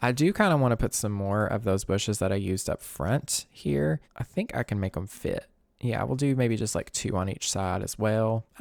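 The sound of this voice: The speaker has a Southern Kentucky accent, a relaxed tone, and lively intonation at a moderate pace. The sound is dry and close with no echo, in a very clean recording with a silent background. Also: man, fairly low pitch for a man, hardly any pauses.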